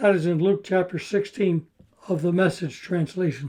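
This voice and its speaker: A man's high-pitched voice with a dark, mellow tone, at a moderate pace, with ordinary pitch variation. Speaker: pastor and mental health speaker. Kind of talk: lecture.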